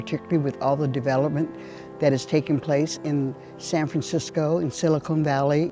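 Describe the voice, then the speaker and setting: A woman with a very deep, low voice and an American accent, music playing in the background. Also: ordinary pitch variation, fairly quick pace. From Indian Canyon, Hollister, California. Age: old. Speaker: Ohlone elder and land steward. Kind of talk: documentary interview answer.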